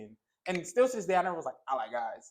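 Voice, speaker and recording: A man's intonation is lively, captured on a very clean recording against a silent background. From New Jersey. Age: 20s. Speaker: content creator. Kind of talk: casual chat.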